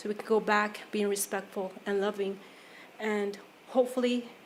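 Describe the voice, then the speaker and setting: The voice is flat and monotone, with audible room echo. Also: woman. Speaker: public commenter. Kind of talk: public comment at council meeting. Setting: city council chambers.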